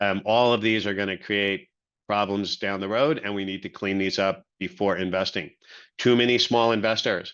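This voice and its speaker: A man speaks in a normal speaking voice at a fairly low pitch against a quiet background. His pace is moderate and his intonation fairly even. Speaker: venture capital investor. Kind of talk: webinar presentation.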